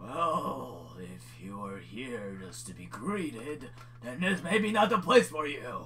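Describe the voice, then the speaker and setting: Over clear background noise, a man talks at a fairly slow pace in a put-on character voice. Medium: actual play. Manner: gruff, impatient.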